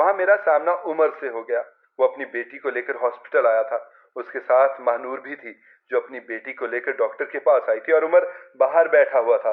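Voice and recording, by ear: Speaking at a moderate pace, a man of medium pitch shows ordinary pitch variation.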